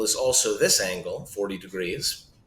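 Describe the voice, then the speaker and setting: Audible room echo carries a man's voice. He speaks at a fairly slow pace. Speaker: math teacher. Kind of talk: tutorial.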